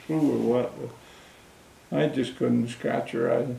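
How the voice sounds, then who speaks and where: Noticeable background noise beneath a man's moderately paced speech. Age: 80s+. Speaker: war veteran. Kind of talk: interview answer.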